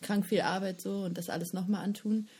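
A woman talks at a fairly quick pace and medium pitch, with fairly even intonation. Her tone is dark and mellow, and somewhat breathy. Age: 20s. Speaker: festival organizer. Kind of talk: casual chat.

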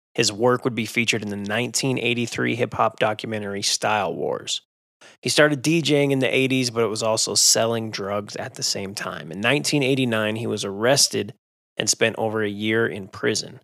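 Speaking at a fairly quick pace, a man uses an ordinary speaking voice of medium pitch with ordinary pitch variation, captured on a very clean recording with a silent background. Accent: American. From Utah (Magna). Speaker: podcast host and DJ. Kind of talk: casual interview.

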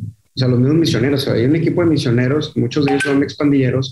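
A somewhat breathy voice with a dark, mellow tone moves at a fairly quick pace over fairly even intonation. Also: man. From Monterrey, northern Mexico. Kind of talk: casual interview.

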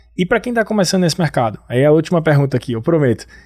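A man speaks with a northeastern Brazilian accent in a dark, mellow tone. The recording is very clean, with a silent background. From Brazil, Northeast. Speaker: company CEO and podcast host. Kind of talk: business interview.

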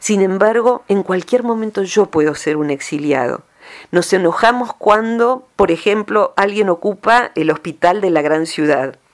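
Using a plain, everyday voice, a woman speaks at a fairly slow pace and medium pitch with ordinary pitch variation. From Argentina, rural province. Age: 50s. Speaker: psychologist. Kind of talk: radio interview column.

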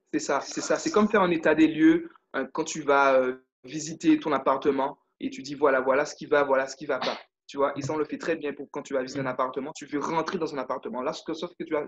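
A man with a fairly high-pitched voice speaks at a fairly quick pace. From Guadeloupe. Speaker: leadership and confidence coach. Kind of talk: interview. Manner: animated.

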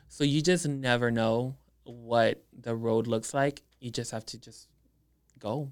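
Speaking very slowly with a South Texas accent, the man keeps a medium pitch and fairly even intonation while his loudness swings widely. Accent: South Texas Mexican-American English. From Edinburg, Texas (Rio Grande Valley), Mexican-American family. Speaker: makeup artist and social media influencer. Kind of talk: casual interview chat. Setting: studio.

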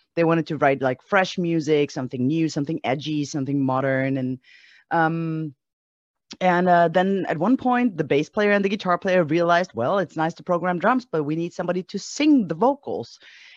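With lively intonation and a fairly low pitch, a woman speaks at a moderate pace in an unremarkable speaking voice against a quiet background. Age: 40s. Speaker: musician. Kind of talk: casual interview.

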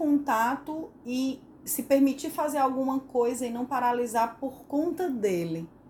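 A woman is speaking at a very slow pace. Her pitch varies in an ordinary way. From Northeast Brazil. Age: 40s. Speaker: podcast co-host, psychologist. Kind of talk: casual chat.

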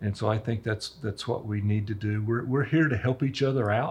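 Over a quiet background, a man speaks at a moderate pace in a medium pitch, somewhat breathy and with fairly even intonation. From Roswell, New Mexico. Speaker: local businessman. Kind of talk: interview.

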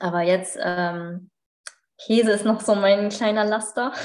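A woman in a normal speaking voice, with fairly even intonation and a moderate pace. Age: 30s. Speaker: yoga teacher and natural cosmetics sales partner. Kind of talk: casual interview.

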